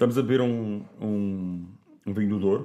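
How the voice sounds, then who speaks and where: Fairly even intonation from a man at a fairly slow pace. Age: 40s. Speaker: wine producer. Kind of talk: casual chat.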